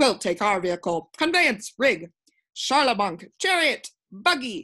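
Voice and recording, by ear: A put-on character voice, bright and sharp in tone, with big pitch swings at a fairly slow pace. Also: woman, fairly high pitch for a woman.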